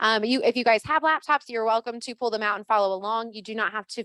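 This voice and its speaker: A woman's fairly high voice, very fast and fairly even in intonation, with a dry, close sound and no echo. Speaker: real estate office trainer. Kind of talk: orientation presentation.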